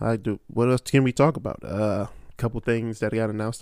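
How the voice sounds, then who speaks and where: A man talks at a very fast pace and a medium pitch. His intonation is monotone and flat. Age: 30s. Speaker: podcast host. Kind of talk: casual solo monologue. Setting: solo at a microphone. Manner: rambling, with many fillers and restarts.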